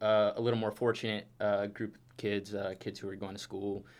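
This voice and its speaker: A man speaks at a moderate pace with fairly even intonation in an unremarkable speaking voice. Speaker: university student intern. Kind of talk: scripted reading; casual interview.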